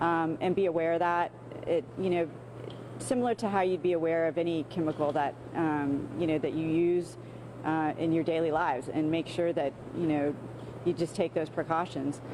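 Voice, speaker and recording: A woman with a fairly low pitch and ordinary pitch variation talks while noticeable noise sounds in the background. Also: very even loudness. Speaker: local official. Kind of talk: interview answer.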